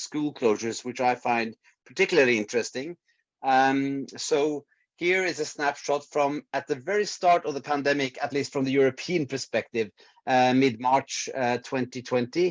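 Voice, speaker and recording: The speaker is a man with a Norwegian accent and a fairly high pitch. He talks at a moderate pace with ordinary pitch variation, in a dry, close sound with no echo. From Norway. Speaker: public health researcher. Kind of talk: conference presentation. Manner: hesitant, many filler words.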